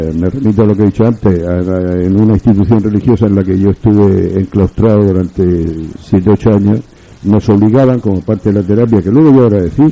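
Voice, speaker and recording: Talking at a very fast pace, a man with a fairly low pitch and a dark, mellow tone keeps his intonation fairly even. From Spain, Murcia. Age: 70s. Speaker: writer. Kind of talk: radio interview. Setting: radio studio. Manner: formal.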